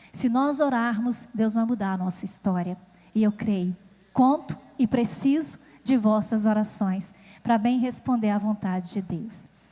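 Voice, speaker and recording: A woman with a fairly high pitch and a dark, mellow tone, somewhat breathy, at a fairly slow pace with ordinary pitch variation. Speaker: preacher. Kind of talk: sermon.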